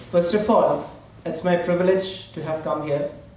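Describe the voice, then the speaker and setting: Noticeable background noise and audible room echo surround a man who speaks with a Keralan accent at a high pitch. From India, Kerala. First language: Malayalam. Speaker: diplomat. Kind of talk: formal speech. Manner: halting.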